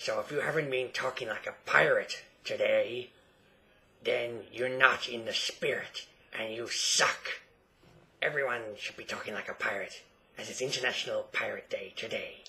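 A man in a put-on character voice at a moderate pace. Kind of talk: comedic improv talk to camera. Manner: playful, exaggerated.

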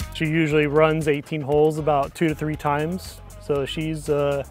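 Faint music plays in the background as a man speaks, the sound dry with no echo. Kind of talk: interview answer. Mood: proud, warm about his dog. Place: open country. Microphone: lapel.

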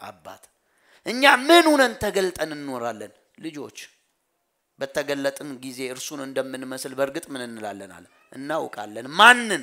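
Against a quiet background, a man speaks with lively intonation and a bright, sharp tone. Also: fairly high pitch for a man. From Ethiopia. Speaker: pastor. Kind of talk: sermon. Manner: call-and-response questioning. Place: church. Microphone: headset.

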